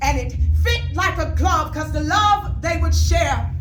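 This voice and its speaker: A woman talks over noticeable background noise. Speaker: spoken word artist. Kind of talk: spoken word poetry performance. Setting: live event.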